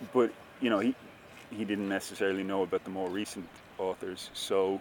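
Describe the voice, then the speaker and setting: At a moderate pace, a man speaks in a fairly low pitch. His intonation stays fairly even, with a Dublin accent. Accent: Irish (Dublin). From Ireland. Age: 30s. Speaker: writer. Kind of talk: interview.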